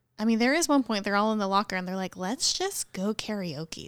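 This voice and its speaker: Here is a woman with an ordinary speaking voice and a fairly high pitch. Her intonation is lively, and the sound is dry and close, without echo. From rural central Missouri. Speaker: church podcast co-host. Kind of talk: casual chat.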